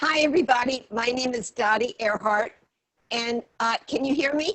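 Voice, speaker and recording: In an American accent, a woman speaks with a high pitch. Her pitch varies in an ordinary way. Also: moderate pace. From Virginia, near Washington DC. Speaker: former realtor. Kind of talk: self-introduction. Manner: halting.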